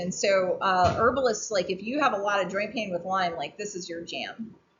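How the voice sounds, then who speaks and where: Audible room echo surrounds the voice of a woman as she talks. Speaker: family medicine doctor and herbalist teaching a workshop. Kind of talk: informal lecture to a workshop group. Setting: round table talk at an outdoor weekend gathering.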